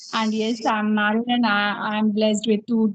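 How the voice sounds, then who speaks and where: A woman with an Indian accent speaks at a moderate pace in a fairly high, somewhat breathy voice with monotone, flat intonation, recorded with a dry, close sound and no echo. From India, Uttar Pradesh. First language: Hindi. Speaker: English teacher and learner. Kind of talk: interview-style English practice conversation. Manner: halting, many fillers.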